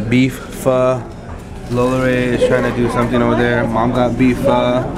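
A man is speaking. Loud background noise runs under his voice. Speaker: father vlogger. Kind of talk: casual vlog chat. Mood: playful, joking. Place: cafe. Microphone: phone near.

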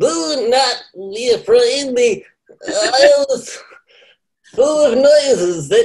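A put-on character voice speaks very slowly at a high pitch, with very wide pitch swings. Long pauses come often.

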